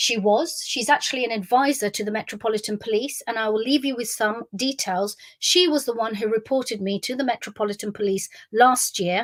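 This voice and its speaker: A woman talks in a London accent at a fairly quick pace. Her pitch is fairly high. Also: ordinary pitch variation. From South West London. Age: 50s. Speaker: memoirist. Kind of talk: monologue. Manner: stream of consciousness.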